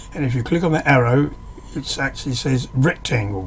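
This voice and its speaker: A man talks at a moderate pace and a medium pitch. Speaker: hobbyist woodworker teaching software. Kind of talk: screen-recorded tutorial. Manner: hesitant, with fillers and restarts; casual, conversational.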